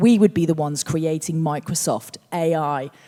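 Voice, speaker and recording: A woman speaks at a fairly low pitch in a dark, mellow tone. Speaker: futurist and researcher. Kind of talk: onstage conversation. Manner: animated.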